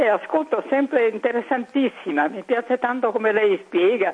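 Noticeable background noise is present. Over it, a woman talks at a fairly high pitch. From Italy, Venice. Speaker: caller. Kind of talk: casual chat. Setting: phone call.

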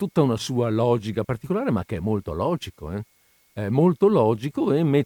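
Over a quiet background, a natural reading voice moves with lively intonation.

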